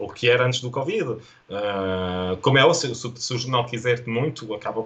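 Fairly even in intonation, a man with a European Portuguese accent speaks at a medium pitch. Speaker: photojournalist. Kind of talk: interview conversation. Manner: halting, with many repetitions.

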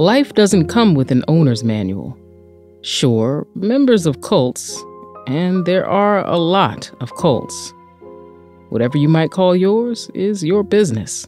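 Very slowly, a woman with a fairly low pitch and very wide pitch swings speaks over music in the background. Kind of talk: audio drama narration. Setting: studio.

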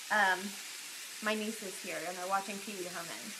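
A woman talks at a moderate pace while noticeable background noise carries on. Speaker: lifestyle blogger. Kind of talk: casual live stream chat. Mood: cheerful, friendly. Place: kitchen. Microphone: phone near.

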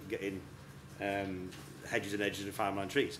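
Amid noticeable background noise, a man speaks at a fairly quick pace. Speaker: session host. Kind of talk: talk to a live audience. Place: tent.

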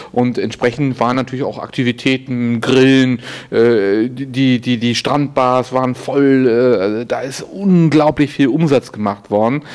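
Over noticeable background noise, a man at medium pitch talks at a fairly slow pace with fairly even intonation and hardly any pauses. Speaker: event host.

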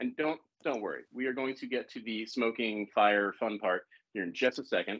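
Against a quiet background, a man with an American accent speaks at a moderate pace with ordinary pitch variation. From US South, Savannah, Georgia; Georgia. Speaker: bartender and cocktail consultant; cocktail class host. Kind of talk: live cocktail-making demonstration. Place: kitchen.

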